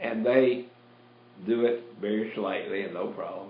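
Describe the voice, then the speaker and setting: A man speaks with a Southern US accent. Audible room echo surrounds his voice. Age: 70s. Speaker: radio host, pastor. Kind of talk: talk radio monologue. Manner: animated.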